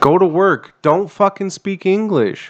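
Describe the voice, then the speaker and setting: A man speaks at a moderate pace, his accent American. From USA. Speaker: veteran podcast host. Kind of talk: casual chat.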